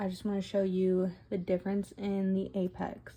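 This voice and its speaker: Her tone dark and mellow, a woman speaks at a medium pitch and a fairly slow pace. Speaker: nail tutorial creator. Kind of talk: tutorial. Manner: casual, conversational.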